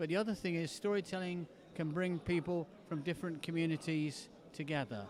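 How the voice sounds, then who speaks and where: This man has an English accent and a high pitch, with ordinary pitch variation. He keeps a fairly quick pace at a very even loudness. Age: 70s. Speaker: storyteller. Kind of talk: storytelling performance; interview. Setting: festival.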